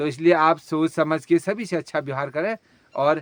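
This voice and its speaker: A man with a normal speaking voice, fairly high pitch, fairly even intonation and moderate pace, dry and close with no echo. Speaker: village vlogger. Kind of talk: casual vlog chat.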